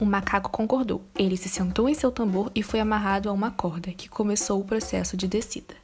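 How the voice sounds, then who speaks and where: Over noticeable background noise, a woman speaks at medium pitch with fairly even intonation and hardly any pauses. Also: fairly quick pace. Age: young. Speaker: pedagogy student. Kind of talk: reading aloud.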